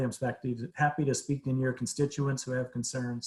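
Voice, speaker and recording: Very fast and somewhat breathy, a man with medium pitch talks with fairly even intonation. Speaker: behavioral health agency presenter. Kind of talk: presentation to city council. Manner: halting, repetitive fillers.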